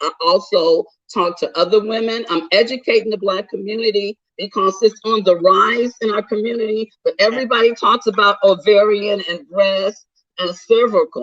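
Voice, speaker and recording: Her voice sits at a fairly high pitch with fairly even intonation and a moderate pace. The woman is heard in a dry, close sound with no echo. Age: 60s. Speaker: author and cancer survivor. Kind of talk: interview.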